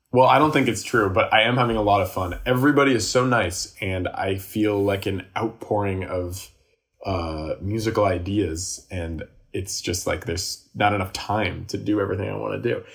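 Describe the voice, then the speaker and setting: Here a man speaks at a moderate pace with a fairly low pitch. His voice is somewhat breathy, with ordinary pitch variation. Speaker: musician and comedian. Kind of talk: casual chat.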